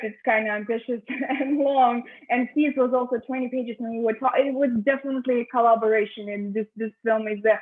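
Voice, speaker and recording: At a fairly quick pace, a woman with a non-native accent speaks in a high pitch with fairly even intonation. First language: not English. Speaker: film director. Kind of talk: interview. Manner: halting, many fillers and repetitions.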